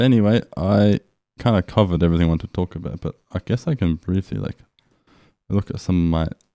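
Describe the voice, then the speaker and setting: A man with an Australian accent, very deep and low in pitch, at a very fast pace on a very clean recording with a silent background. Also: ordinary pitch variation. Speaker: language learning vlogger. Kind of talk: casual video journal. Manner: casual, with fillers and restarts.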